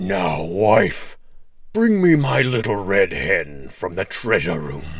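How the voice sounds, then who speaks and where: A man's put-on character voice, growling at a fairly low pitch and a fairly slow pace, over light background noise. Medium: read story. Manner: loud, bawling.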